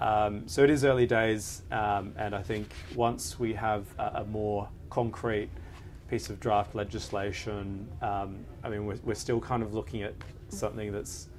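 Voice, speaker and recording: Audible echo fills the room. The talking stays fairly slow, and its intonation is fairly level. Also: man, fairly low pitch for a man. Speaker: lawyer. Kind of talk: panel discussion. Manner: hesitant, many fillers.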